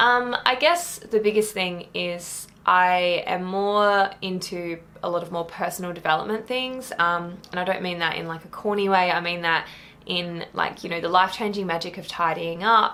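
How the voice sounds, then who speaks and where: A woman with an Australian accent at medium pitch, moderate pace, and fairly even intonation, over noticeable background noise. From rural Australia. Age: 20s. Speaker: book vlogger. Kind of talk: casual vlog talk.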